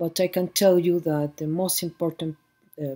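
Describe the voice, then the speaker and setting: With a Mexican accent, a woman speaks at a moderate pace in a dark, mellow tone. Her intonation is flat and monotone. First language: Spanish. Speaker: book fair director. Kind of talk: conference talk. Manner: halting.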